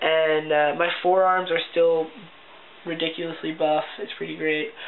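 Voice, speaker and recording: Over noticeable background noise, a man talks at a fairly high pitch in a flat, monotone way. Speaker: video blogger. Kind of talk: casual vlog. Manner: chatty, many fillers.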